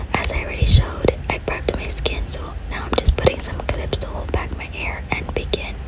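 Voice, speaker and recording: A woman whispering at a fairly quick pace, her loudness swinging widely, with noticeable background noise. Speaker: ASMR creator. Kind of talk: ASMR get-ready-with-me voiceover. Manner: whispered.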